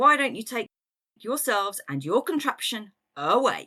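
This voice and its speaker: Doing a put-on character voice, a woman sounds gruff and growling at a high pitch, with very wide pitch swings and a moderate pace. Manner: gruff, annoyed.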